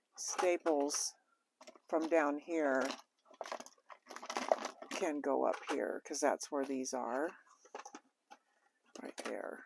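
Over noticeable background noise, a woman talks at a very slow pace in a very deep, low pitch, the sound dry with no echo. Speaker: home organizing vlogger. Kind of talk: casual vlog chat. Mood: cheerful, pleased at a find. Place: home room. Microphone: phone near.

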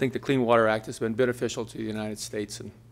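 A man with an American accent and vocal fry talks at a very fast pace. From California. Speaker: civil engineer giving public comment. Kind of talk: public comment. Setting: public board meeting. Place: hall.

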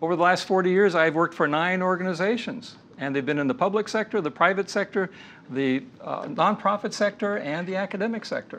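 Light background noise sits under the voice. The pace is fairly quick, with ordinary pitch variation. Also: man, high pitch for a man. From US, moved among several states. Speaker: lecturer on leadership. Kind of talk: lecture. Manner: measured, with filler hesitations. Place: studio. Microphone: lapel.

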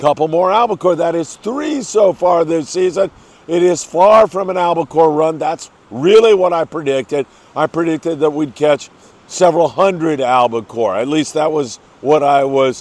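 The sound is dry with no echo as a man speaks at a moderate pace. His pitch varies in an ordinary way. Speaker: fishing report host. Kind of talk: news briefing commentary. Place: beach. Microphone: lapel.

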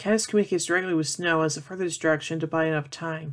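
Someone speaks at a very fast pace against a quiet background. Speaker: film series reviewer. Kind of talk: plot summary commentary. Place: home room. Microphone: webcam.

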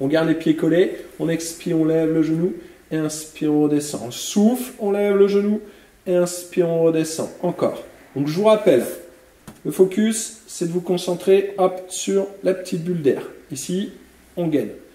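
Speaking at a moderate pace with long, frequent pauses, a man uses a high pitch and ordinary pitch variation amid audible room echo. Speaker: fitness instructor. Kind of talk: exercise class instruction. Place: gym.

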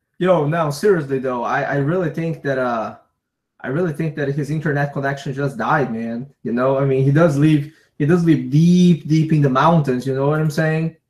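A man's somewhat breathy voice at a fairly high pitch, moderate pace, and fairly even intonation. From Brazil. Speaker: fishing YouTuber. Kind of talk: casual chat. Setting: video call.

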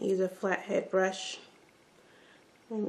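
A woman at a medium pitch, speaking at a fairly slow pace. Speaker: beauty vlogger. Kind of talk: tutorial. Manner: casual, chatty. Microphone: phone near.

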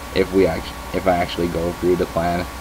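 Over noticeable background noise, a man with a very deep, low pitch speaks at a fairly quick pace. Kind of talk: casual vlog chat. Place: home room. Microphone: webcam.

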